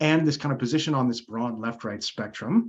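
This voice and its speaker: Here is an unremarkable speaking voice from a man with an American accent, medium in pitch. He moves at a fairly quick pace with ordinary pitch variation. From United States. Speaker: psychology lecturer. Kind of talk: academic Q&A. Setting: video call.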